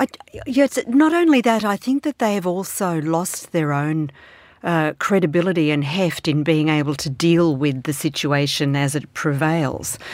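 Over a silent background on a very clean recording, a woman with an Australian accent talks at a moderate pace. Her pitch is fairly low and her intonation lively. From Australia, Melbourne. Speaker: foreign affairs columnist. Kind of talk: panel discussion.

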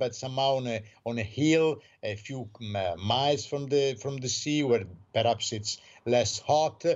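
The speech comes at a fairly slow pace in an Italian accent with ordinary pitch variation. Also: man. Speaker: newspaper correspondent. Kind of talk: radio interview. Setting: phone call.

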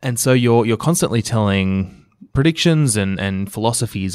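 The recording is very clean and the background silent. An Australian accent comes through at a moderate pace. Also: man. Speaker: podcast host, digital strategist. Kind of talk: interview conversation.

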